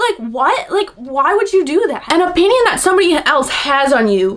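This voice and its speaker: She sounds animated. Her pitch rises and falls over a very wide range. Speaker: podcast host. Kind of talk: casual monologue. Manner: fast.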